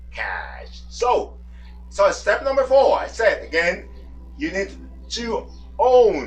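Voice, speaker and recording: Fairly slow speech from a man amid audible room echo and noticeable background noise. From Dominican Republic. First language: Spanish. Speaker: language coach. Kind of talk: tutorial. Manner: emphatic.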